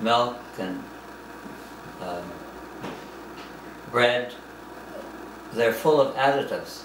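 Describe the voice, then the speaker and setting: A man talks fairly slowly at a medium pitch. His intonation stays fairly even, with noticeable noise in the background. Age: 80s+. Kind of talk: interview answer.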